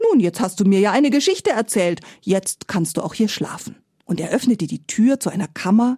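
This natural reading voice carries lively intonation against a quiet background.

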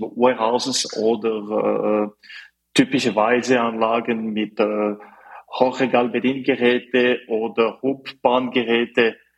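A man speaks in a French accent. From French-speaking Switzerland, Fribourg. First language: French (speaking German). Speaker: mechanical engineer, startup representative. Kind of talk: interview. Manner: halting, many fillers.

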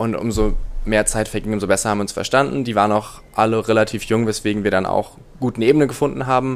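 A man's voice of medium pitch. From northern Germany (Rostock). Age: 20s. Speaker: law student, returned volunteer. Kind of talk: interview. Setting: in-person recording. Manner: hesitant, many filler sounds.

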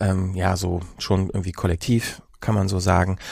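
At a moderate pace, a man talks in a normal speaking voice with a fairly low pitch. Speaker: podcast host. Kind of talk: casual chat. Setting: studio.

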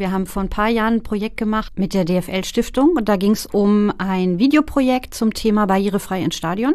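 A woman speaks in a normal speaking voice at a fairly high pitch. She talks at a fairly quick pace with ordinary pitch variation. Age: 40s. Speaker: care worker and case manager. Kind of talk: casual chat.

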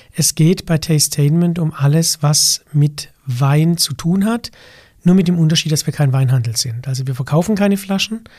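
Dry and close with no echo, the voice has a dark, mellow tone and moves at a moderate pace. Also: man, fairly high pitch for a man, ordinary pitch variation. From south-western Germany, Baden (Weil am Rhein). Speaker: sommelier and wine expert. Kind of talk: interview conversation.

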